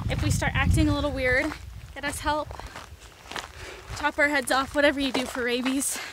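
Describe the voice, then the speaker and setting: A woman at a moderate pace, dry sound with no echo, loud background noise. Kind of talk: casual vlog chat. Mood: cheerful, joking. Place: open country. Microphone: phone near.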